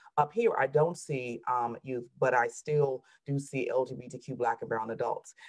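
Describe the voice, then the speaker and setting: Speech in a Southern US accent, animated in tone, moving at a moderate pace with hardly any pauses. Pitch varies in the ordinary way, while loudness swings widely. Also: woman, very deep, low pitch for a woman. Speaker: therapist. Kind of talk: panel discussion.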